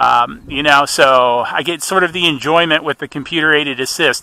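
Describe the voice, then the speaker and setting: The sound is dry with no echo as a man talks at a moderate pace with ordinary pitch variation. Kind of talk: casual live commentary. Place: open country.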